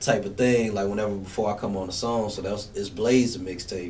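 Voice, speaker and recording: Noticeable background noise and audible room echo surround the speaker. He is a man with a fairly low pitch. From Memphis, Tennessee (East Memphis). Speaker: rapper. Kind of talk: radio interview. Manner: casual, relaxed.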